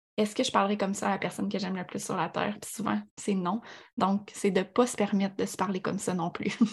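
Rushing at a very fast pace, a woman talks at a medium pitch in a monotone, flat intonation with vocal fry. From Quebec, Abitibi. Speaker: sports nutritionist. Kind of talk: podcast interview.

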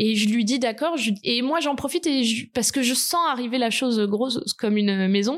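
A woman's high-pitched voice at a moderate pace. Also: ordinary pitch variation, very even loudness. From southern France, Côte d'Azur. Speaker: podcast guest telling her love story. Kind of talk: personal testimony. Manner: hesitant, with fillers.

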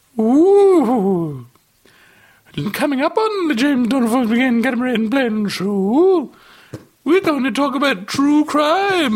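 A put-on character voice at a high pitch speaks with long, frequent pauses. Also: fairly slow pace. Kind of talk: radio show host. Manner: broad, theatrical.

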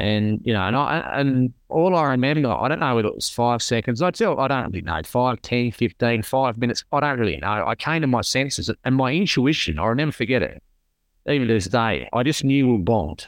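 Fairly quick and lively in intonation, a man speaks with an Australian accent. His pitch sits in the medium range. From South Australia (rural). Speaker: burns survivor and charity founder. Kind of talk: interview. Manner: halting.

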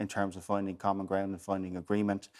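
The recording is very clean, the background silent. A man talks in a fairly low pitch. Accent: Waterford. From Ireland, West Waterford. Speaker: politician. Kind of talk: panel discussion.

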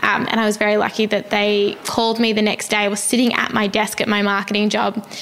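A woman speaks very fast with an Australian accent, her intonation flat and monotone. Her loudness stays very even, and there is noticeable background noise. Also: medium pitch for a woman. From Australia, Melbourne. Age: 20s. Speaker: non-profit founder. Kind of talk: interview. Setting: in person.

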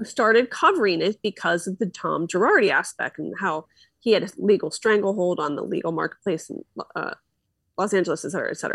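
Delivered at a very fast pace with an American accent, the speech has a dry, close sound with no echo. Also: woman. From Philadelphia, US. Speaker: podcaster. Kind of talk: casual interview chat. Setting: video call.

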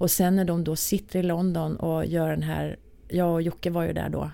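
Moderate pace from a woman, very clean recording, silent background. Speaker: music industry executive. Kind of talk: casual interview.

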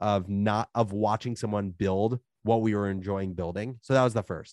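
An ordinary speaking voice from a man with an American accent, fairly low in pitch, fairly even in intonation and moderate in pace, with a dry, close sound with no echo and a quiet background. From New Jersey. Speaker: media startup founder. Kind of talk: interview conversation.

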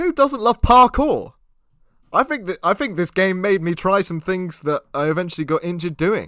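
His intonation is lively as this man talks. He keeps to a moderate pace. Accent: British. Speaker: podcast host. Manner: playful, jokey, does silly Italian voices.

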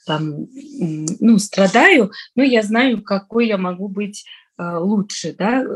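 Somewhat breathy and at a medium pitch, a woman talks at a very slow pace with ordinary pitch variation. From Tajikistan, Dushanbe. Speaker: entrepreneur. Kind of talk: casual interview chat.

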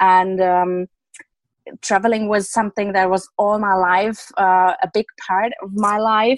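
A woman speaks in a German accent. Her delivery is monotone and flat at a fairly slow pace. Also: medium pitch for a woman, dry, close sound with no echo. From Germany. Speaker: self-love and confidence coach. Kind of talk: interview. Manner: halting.

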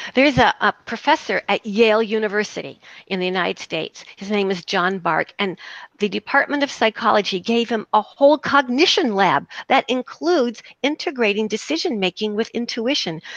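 In an American accent, a woman with an ordinary speaking voice talks at a moderate pace and a fairly high pitch, with lively intonation and a dry, close sound with no echo. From US South. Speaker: psychotherapist. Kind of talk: interview.

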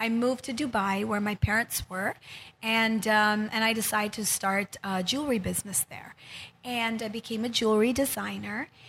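This is a normal speaking voice with fairly even intonation. The pace is moderate. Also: woman, fairly high pitch for a woman. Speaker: healer and wellness center founder. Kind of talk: interview, casual chat. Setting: studio.

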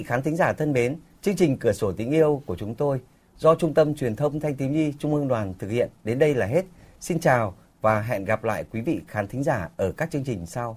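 A man speaks at a moderate pace in a medium pitch, his voice somewhat breathy and his intonation lively. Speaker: radio call-in show host. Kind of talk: live radio call-in program. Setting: radio studio. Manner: formal.

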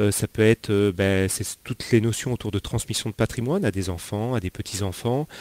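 A man with a fairly low pitch and ordinary pitch variation talks at a fairly quick pace in a dry, close sound with no echo. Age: 40s. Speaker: financial investment advisor. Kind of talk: interview. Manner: halting, many fillers.

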